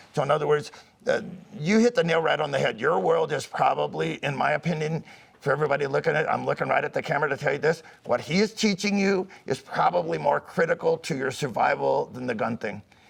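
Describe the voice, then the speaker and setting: A man talking very fast over noticeable background noise. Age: 70s. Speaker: firearms instructor. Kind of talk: interview. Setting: outdoors. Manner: animated.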